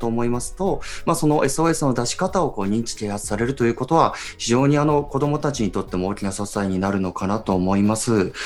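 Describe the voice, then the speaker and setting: This man talks at a very fast pace. The intonation he uses is lively. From Iwate, Japan. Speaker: radio host and photojournalist. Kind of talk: radio talk show.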